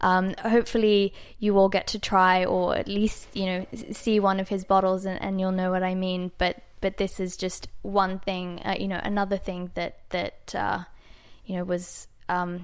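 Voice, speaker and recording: A woman with an Australian accent speaks at a moderate pace and medium pitch in a monotone, flat way, on a very clean recording with a silent background. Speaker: wine importer. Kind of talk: wine tasting chat.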